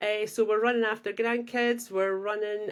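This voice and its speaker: Someone speaks with a Scottish accent in a very clean recording with a silent background. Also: woman. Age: 60s. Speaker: podcast guest, former slimming coach. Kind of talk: casual chat.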